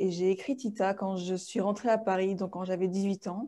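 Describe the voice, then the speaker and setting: Against a quiet background, a woman speaks at a moderate pace in a dark, mellow tone, her medium pitch held in fairly even intonation. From Tahiti, French Polynesia. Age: 20s. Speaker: children's book author. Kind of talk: interview. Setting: video call.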